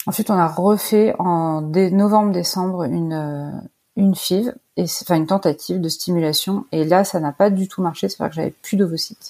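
On a very clean recording with a silent background, a woman's medium-pitched voice has a dark, mellow tone. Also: ordinary pitch variation, moderate pace. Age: 40s. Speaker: artist. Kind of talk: interview.

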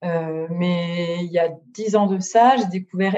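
A woman has a dark, mellow tone at a fairly low pitch. Her pitch variation is ordinary. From northern France (Nord-Pas-de-Calais). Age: 30s. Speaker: book influencer. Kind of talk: interview. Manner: hesitant, many fillers.

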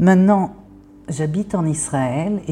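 Very slow and somewhat breathy, a woman speaks in a dark, mellow tone with ordinary pitch variation. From France. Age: 50s. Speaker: therapist. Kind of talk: interview monologue. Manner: hesitant.

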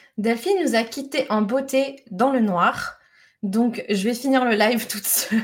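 In an animated tone, a woman speaks with a fairly high pitch and ordinary pitch variation. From France, Lyon. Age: 30s. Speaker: entrepreneur, organisation expert. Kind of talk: casual chat; monologue.

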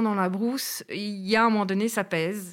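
A woman with a fairly high pitch and a Brussels accent at a moderate pace, in a very clean recording with a silent background. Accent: Brussels Belgian French. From Belgium, Brussels. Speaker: traveller, former bush lodge resident. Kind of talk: casual interview.

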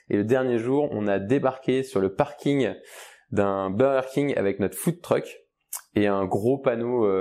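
Over a quiet background, a man with a dark, mellow tone and medium pitch talks at a fairly slow pace with ordinary pitch variation. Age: 30s. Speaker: startup founder. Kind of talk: casual interview. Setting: studio, video podcast. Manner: hesitant, many fillers.

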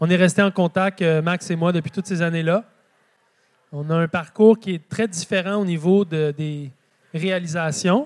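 Speaking in a Quebec accent at a fairly slow pace with long, frequent pauses, a man with a high pitch and fairly even intonation comes through in a dry, close sound with no echo on a very clean recording with a silent background. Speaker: market gardener and author. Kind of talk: live public talk. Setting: stage with audience.

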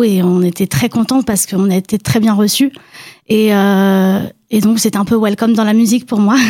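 A woman with a dark, mellow tone and medium pitch speaks at a moderate pace, keeping her loudness very even and her intonation fairly even. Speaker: emerging singer guest. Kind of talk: radio interview.

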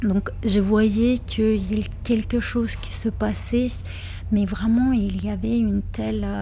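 Very slow speech in a Lithuanian accent, with noticeable background noise. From Lithuania, Kaunas. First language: Lithuanian (speaking French). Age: 30s. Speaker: interviewee sharing life story. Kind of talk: personal testimony interview. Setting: hotel lounge in Paris. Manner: hesitant, many fillers and repetitions.

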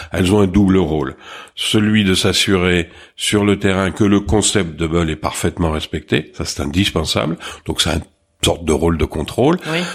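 The very clean recording, with its silent background, features a man with a very deep, low pitch. He talks at a moderate pace with ordinary pitch variation. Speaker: restaurant franchise co-founder. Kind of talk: interview.

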